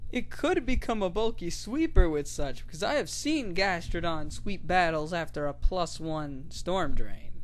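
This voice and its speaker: Hardly any pauses break up this talking, which goes at a fairly slow pace. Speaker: gaming YouTuber. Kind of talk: scripted narration.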